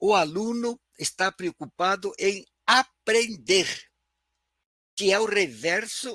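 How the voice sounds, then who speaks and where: Very slowly, with long, frequent pauses, a man uses a raised, projected voice at a high pitch, his tone bright and sharp with ordinary pitch variation, in a dry, close sound with no echo. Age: 80s+. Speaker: professor. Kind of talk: lecture.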